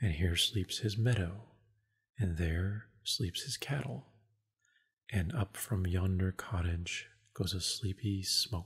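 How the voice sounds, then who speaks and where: Soft-spoken and somewhat breathy, the voice moves at a very slow pace with long, frequent pauses in a very clean recording with a silent background. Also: man, fairly low pitch for a man, ordinary pitch variation. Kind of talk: audiobook reading, ASMR. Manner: soft-spoken, relaxing.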